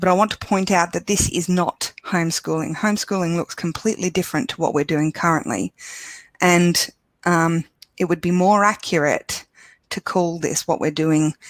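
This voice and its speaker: A woman speaks with an Australian accent at a moderate pace, her pitch fairly low and her intonation fairly even. The sound is dry and close with no echo. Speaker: education support officer presenting webinar. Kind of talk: webinar presentation. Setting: online webinar.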